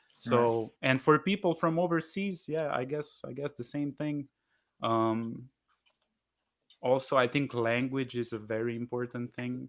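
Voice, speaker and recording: In a very clean recording with a silent background, a man with a Slovenian accent speaks fairly slowly at a medium pitch with ordinary pitch variation. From Slovenia, Kranj. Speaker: jazz musician, bandleader. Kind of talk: live Q&A interview. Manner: halting, many repetitions.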